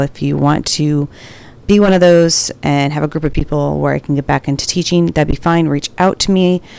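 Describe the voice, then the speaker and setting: The speech moves at a moderate pace with fairly even intonation, over noticeable background noise. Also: woman. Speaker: nurse podcaster. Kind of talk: casual solo podcast intro and commentary. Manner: informal, rambling, halting.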